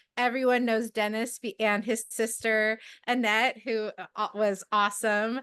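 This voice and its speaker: A woman speaks at a fairly high pitch. The sound is dry and close, with no echo. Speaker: amateur astronomer, club member. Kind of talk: casual talk at an online club meeting. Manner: loud; halting, many fillers.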